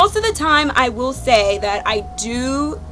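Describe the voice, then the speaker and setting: Music plays in the background as a woman with an American accent speaks at a very slow pace. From South Jersey, near Philadelphia. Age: 20s. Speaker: YouTube vlogger. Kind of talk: casual chat. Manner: animated.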